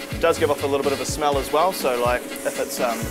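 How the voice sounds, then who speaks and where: A man at a very fast pace over loud music in the background. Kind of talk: tutorial. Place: factory.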